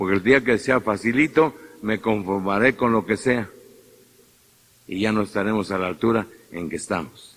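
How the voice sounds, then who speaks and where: A man speaks with a Mexican accent at a moderate pace, his pitch fairly low. His pitch varies in an ordinary way, and he takes long, frequent pauses. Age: 50s. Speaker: priest. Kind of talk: sermon. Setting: church.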